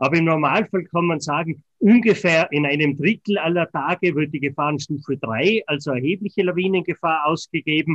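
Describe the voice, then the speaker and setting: A man speaks in an unremarkable speaking voice, fairly high in pitch, at a moderate pace. His pitch varies in an ordinary way, and he hardly pauses at all. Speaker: avalanche warning expert. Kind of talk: interview. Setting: remote connection.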